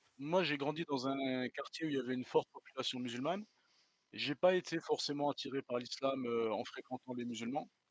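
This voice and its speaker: This man talks at a fairly quick pace with a fairly high pitch. His pitch varies in an ordinary way. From France. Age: 40s. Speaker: guest, French expatriate. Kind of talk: interview. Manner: hesitant, many fillers.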